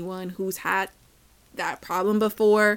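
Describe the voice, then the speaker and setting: Very clean recording with a silent background, a woman at a medium pitch, fairly slow pace, monotone, flat intonation. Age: 20s. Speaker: podcast host. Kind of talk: casual monologue.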